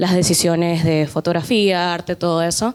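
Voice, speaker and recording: A woman's fairly low voice with a non-native accent, at a moderate pace on a very clean recording with a silent background. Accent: foreign Spanish accent, noticeable. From not Argentina. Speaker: film student. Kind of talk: audience question. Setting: talk with student audience.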